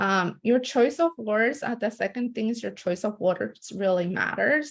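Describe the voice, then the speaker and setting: Fairly slow speech with ordinary pitch variation, in a Spanish accent. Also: woman, fairly high pitch for a woman. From born in El Salvador, raised in US from about age 12. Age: young. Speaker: community organizer. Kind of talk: webinar presentation. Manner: many fillers, some halting.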